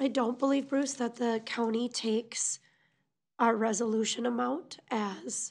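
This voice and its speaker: A normal speaking voice moves at a fairly slow pace with very even loudness. The intonation stays fairly even. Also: woman, fairly high pitch for a woman. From US Midwest. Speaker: city finance officer. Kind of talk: council meeting discussion. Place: meeting room.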